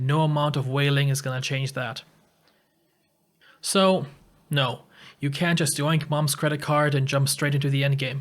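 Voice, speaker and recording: A somewhat breathy man with a fairly high pitch, flat monotone intonation and a moderate pace, on a very clean recording with a silent background. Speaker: gaming YouTuber. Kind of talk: opinion video commentary.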